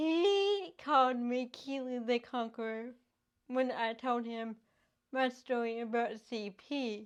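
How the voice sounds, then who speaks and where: Very slow speech from a woman, high in pitch, with ordinary pitch variation. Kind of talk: interview answers. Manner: slow, effortful articulation.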